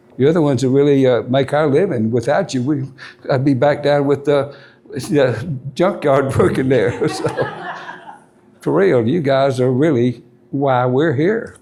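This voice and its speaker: The loudness stays very even, with ordinary pitch variation. Noticeable background noise and audible room echo surround the voice. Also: man, fairly high pitch for a man. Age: 80s+. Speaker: camshaft maker and engine builder. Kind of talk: Q&A with audience. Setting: stage with audience at motorcycle rally. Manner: halting.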